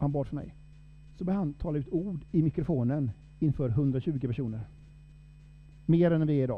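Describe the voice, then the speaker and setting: At a moderate pace, a man with a fairly high voice and ordinary pitch variation speaks with long, frequent pauses. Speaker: preacher. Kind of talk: sermon.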